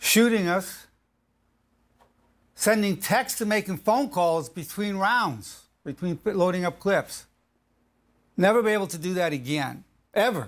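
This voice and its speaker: A man with a high pitch talks at a fairly slow pace with lively intonation and long, frequent pauses. The recording is very clean, with a silent background. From United States. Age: 70s. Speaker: clinical psychologist. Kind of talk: video presentation. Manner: emphatic.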